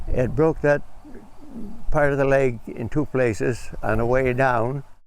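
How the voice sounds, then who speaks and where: Amid audible room echo, a man speaks at a fairly slow pace in a medium pitch with fairly even intonation. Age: 80s+. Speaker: hunter. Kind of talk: casual chat.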